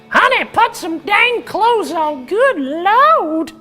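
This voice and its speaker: A woman does a put-on character voice, squeaky and extremely high, with very wide pitch swings. She speaks at a very slow pace over faint music in the background. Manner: scolding, exasperated.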